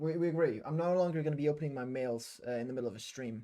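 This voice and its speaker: A man's dark, mellow tone at fairly high pitch, with lively intonation and a fairly quick pace, in a very clean recording with a silent background. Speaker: game developer streamer. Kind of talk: live coding stream. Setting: live stream. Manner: halting, many fillers.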